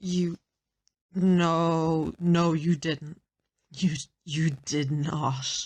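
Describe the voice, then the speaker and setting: Using a put-on character voice, a woman speaks at fairly low pitch and a very slow pace, flat and monotone, with long, frequent pauses. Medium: audio drama.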